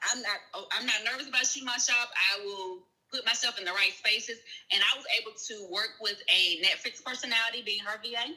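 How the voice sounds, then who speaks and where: This speaker has a Southern US accent and a fairly quick pace. The loudness swings widely while the pitch varies in an ordinary way. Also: woman, fairly high pitch for a woman. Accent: Southern US, sounds country. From US South. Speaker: virtual assistant and grant writer. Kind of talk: live-stream interview. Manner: casual, conversational.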